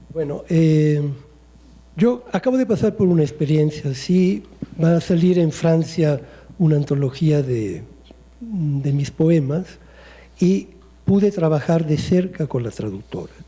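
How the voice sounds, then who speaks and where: In an Italian accent, a man with fairly high pitch and lively intonation speaks very slowly, with long, frequent pauses. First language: Italian (speaking Spanish). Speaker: poet. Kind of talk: panel discussion.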